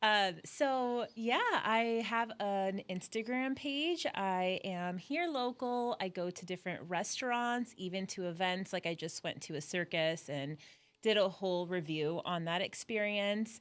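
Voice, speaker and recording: Lively, fairly slow speech with hardly any pauses, on a very clean recording with a silent background. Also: woman, medium pitch for a woman. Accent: Southern California. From Southern California, Orange County. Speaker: social media content creator. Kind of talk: casual interview chat. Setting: podcast studio.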